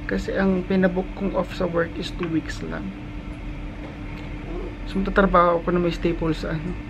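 Amid noticeable background noise, a man sounds strained as he talks at a moderate pace with long, frequent pauses. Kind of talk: casual vlog chat. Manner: weak, strained voice after neck surgery. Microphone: phone near.

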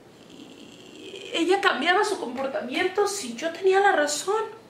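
Light background noise and audible room echo surround a woman's voice. She speaks very slowly at an extremely high pitch. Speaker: actress playing a worried mother. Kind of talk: dramatic theatre monologue. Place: home room.

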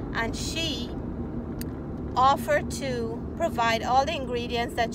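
Over loud background noise, a woman talks at a fairly slow pace in a dry sound with no echo. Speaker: cooking vlogger. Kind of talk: casual vlog chat. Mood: warm, upbeat. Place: car. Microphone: phone near.

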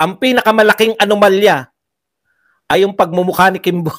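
The voice belongs to a man and sits high in pitch. He races along at a very fast speed. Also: quiet background. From Philippines. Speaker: political vlogger. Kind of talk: political commentary. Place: home room. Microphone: handheld.

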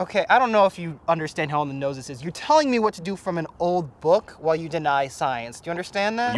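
At a very fast pace, a man speaks with a high pitch and lively intonation in a dry sound with no echo. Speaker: actor in a comedy sketch. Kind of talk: scripted dialogue. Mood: exasperated, incredulous. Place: forest.

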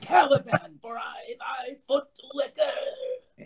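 A put-on character voice at an extremely high pitch swings very widely in pitch while going at a very slow pace. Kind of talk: Shakespearean stage verse. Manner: urgent, whispering, fawning.

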